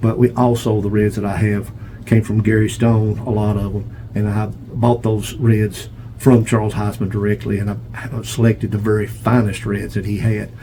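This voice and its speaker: Amid noticeable background noise, a man with an American accent talks at a moderate pace in a fairly low, flat monotone. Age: 70s. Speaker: pigeon breeder. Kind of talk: casual video tour monologue. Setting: pigeon loft feed room.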